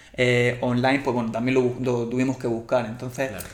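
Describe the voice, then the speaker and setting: A man speaks at a medium pitch in a monotone, flat manner. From Spain, Murcia. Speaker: endurance coach. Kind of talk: casual interview chat.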